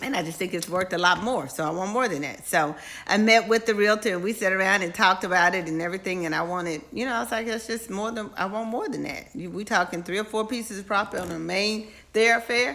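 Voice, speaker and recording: A woman at medium pitch, very fast and animated, with ordinary pitch variation and noticeable background noise. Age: 50s. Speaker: live-stream host and businesswoman. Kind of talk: casual live-stream talk to viewers. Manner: animated, repetitive emphasis.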